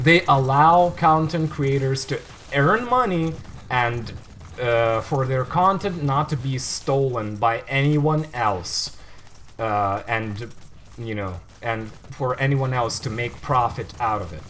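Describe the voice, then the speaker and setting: Using lively intonation, a man of medium pitch speaks at a very slow pace. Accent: non-native. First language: not English. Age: 20s. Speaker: gaming livestreamer. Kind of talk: gameplay commentary livestream. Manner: casual, hesitant with fillers.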